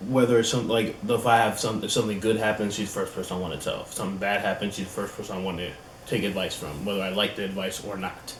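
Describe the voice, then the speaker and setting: Hardly pausing, a man with a fairly low voice speaks at a very fast pace with fairly even intonation. Audible room echo and noticeable background noise fill the recording. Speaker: YouTuber in a couple channel. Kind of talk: casual chat. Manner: loud.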